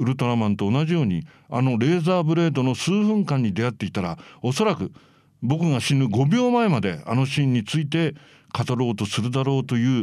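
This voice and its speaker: This man's pitch swings very widely as he talks at a fairly quick pace, the recording very clean and the background silent. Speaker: writer and critic on tokusatsu and anime. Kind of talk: reading aloud his own essay; casual monologue.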